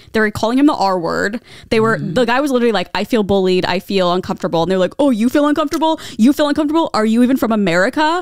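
Against a quiet background with a dry, echo-free sound, a woman talks very fast in a fairly high pitch with very wide pitch swings. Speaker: podcast co-host. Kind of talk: casual chat. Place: home room. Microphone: handheld.

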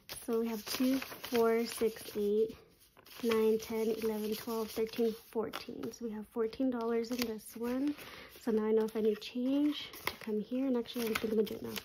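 Over noticeable background noise, a woman speaks in a fairly high pitch at a moderate pace. Her intonation is monotone and flat. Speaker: budgeting YouTuber. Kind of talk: casual chat, cash stuffing tutorial. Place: home room. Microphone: phone near.

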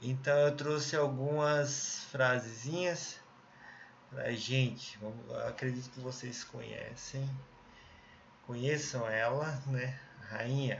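With light background noise, a man of medium pitch talks at a very slow pace, his intonation fairly even and his pauses long and frequent. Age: 30s. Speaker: English teacher. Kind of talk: recorded online lesson. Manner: casual, friendly. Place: home room. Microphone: webcam.

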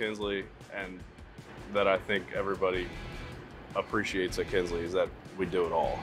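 A man talks at a moderate pace. Clear music plays behind him, and the sound is dry with no echo. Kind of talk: interview answer. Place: factory.

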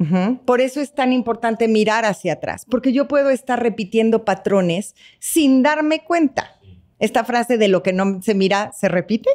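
A woman's fairly high voice at a moderate pace, ordinary pitch variation, quiet background. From Mexico. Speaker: psychotherapist; guest. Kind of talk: interview conversation. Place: studio. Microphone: studio mic.

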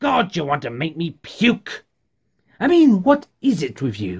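A man performs a put-on character voice at a high pitch and a fairly slow pace. The recording is very clean, with a silent background. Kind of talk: theatrical monologue acting. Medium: solo performance. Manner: mocking, manic, rising to frantic.

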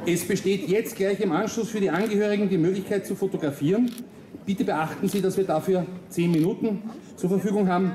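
Fairly quick pace, with light background noise and audible room echo. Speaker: military ceremony announcer. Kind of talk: formal announcement. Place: street.

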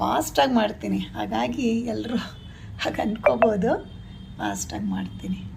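Audible room echo hangs around the voice. It belongs to a woman, with noticeable background noise behind her. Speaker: craft vlogger. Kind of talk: casual vlog monologue.

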